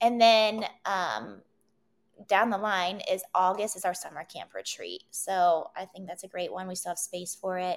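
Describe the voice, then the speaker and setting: A woman with an American accent speaks at a fairly slow pace in a normal speaking voice, her pitch medium. Her intonation stays fairly even while her loudness swings widely. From West Virginia, Wheeling. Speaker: entrepreneur, wellness event organizer. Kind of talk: casual interview.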